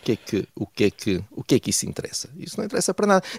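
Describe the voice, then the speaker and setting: Vocal fry marks this man's very fast speech, heard in a dry, close sound with no echo. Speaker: political commentator. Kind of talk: radio commentary segment. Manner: hesitant, many fillers.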